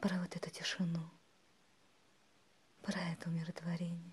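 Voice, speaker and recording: Somewhat breathy and soothing, a woman speaks at a moderate pace with a fairly low pitch. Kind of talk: ASMR relaxation monologue. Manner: whispered, soothing.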